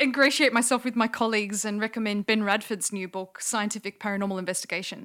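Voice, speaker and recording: A very fast voice with a bright, sharp tone in an Australian accent, on a very clean recording with a silent background. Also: woman, fairly high pitch for a woman, hardly any pauses. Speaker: linguist and skeptic.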